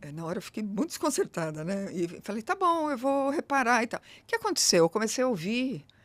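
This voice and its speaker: A woman speaks at a fairly quick pace with very wide pitch swings. The recording is very clean, with a silent background. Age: middle-aged. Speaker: diversity consultant. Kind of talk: interview conversation. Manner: fast; animated.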